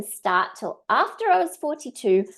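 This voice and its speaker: Against a quiet background, a woman speaks at a fairly slow pace with very wide pitch swings. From Australia. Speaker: direct sales trainer. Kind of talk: webinar training. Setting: live stream.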